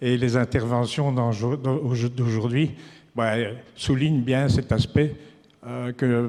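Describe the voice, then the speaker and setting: Very slowly, a man talks in a dark, mellow tone. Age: 70s. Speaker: social tourism association treasurer. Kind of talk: farewell speech at conference. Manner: hesitant, many filler sounds.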